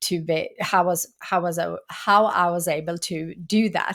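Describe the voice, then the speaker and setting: Here a woman with a Swedish accent speaks at a medium pitch with ordinary pitch variation. The recording is very clean, with a silent background. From Sweden. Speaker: entrepreneur and author. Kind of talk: interview.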